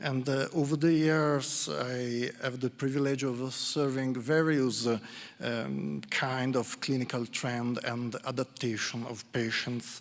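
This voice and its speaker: A man with an Italian accent, medium pitch and fairly even intonation, speaking at a fairly slow pace with hardly any pauses. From Italy, Milan. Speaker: psychologist. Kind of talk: conference talk. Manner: halting.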